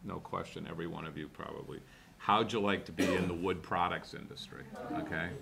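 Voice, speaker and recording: A man speaks at a very deep, low pitch and a fairly quick pace, with ordinary pitch variation and big swings in loudness. The recording has noticeable background noise and audible room echo. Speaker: business executive, conference panelist. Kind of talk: panel discussion talk. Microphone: speaking without a microphone.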